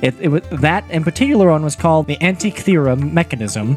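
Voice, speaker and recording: A man's fairly high voice at a fairly quick pace, lively in intonation, with music in the background. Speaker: podcast co-host.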